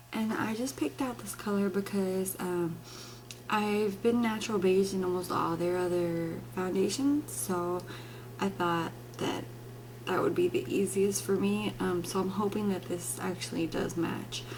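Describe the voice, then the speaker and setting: Audible room echo surrounds a woman speaking at a fairly slow pace. Her pitch swings very widely. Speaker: beauty vlogger. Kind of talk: product demo and review. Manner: speaking low; casual, many fillers.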